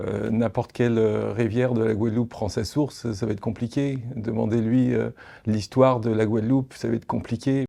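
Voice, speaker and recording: Speaking at a moderate pace, a man has a dark, mellow tone, medium pitch and fairly even intonation. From Paris, France. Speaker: documentary filmmaker. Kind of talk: interview. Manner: hesitant, many fillers.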